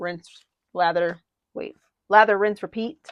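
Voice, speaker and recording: A woman speaks at a fairly slow pace with fairly even intonation. The sound is dry and close, with no echo. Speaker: papercraft tutorial creator. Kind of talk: tutorial. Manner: casual, chatty. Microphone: mic issues.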